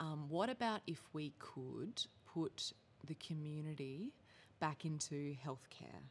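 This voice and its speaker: Speaking at a very slow pace with lively intonation, a woman with an Australian accent has a very deep, low pitch. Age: 30s. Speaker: social entrepreneur. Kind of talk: casual chat.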